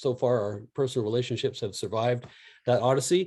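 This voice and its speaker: A man with a Canadian accent speaks at a fairly quick pace. His voice sits at a medium pitch with a dark, mellow tone. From Canada. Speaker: music review video host. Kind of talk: casual chat.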